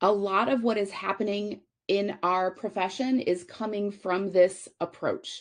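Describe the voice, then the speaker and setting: A normal speaking voice from a woman, medium in pitch, with ordinary pitch variation, a moderate pace and a quiet background. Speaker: conference speaker, physical therapist. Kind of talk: conference presentation.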